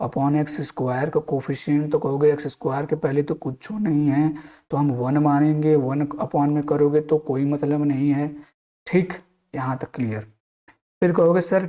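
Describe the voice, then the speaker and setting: Fairly even intonation and a fairly slow pace from a man. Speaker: maths teacher. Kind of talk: lecture. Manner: casual, repetitive.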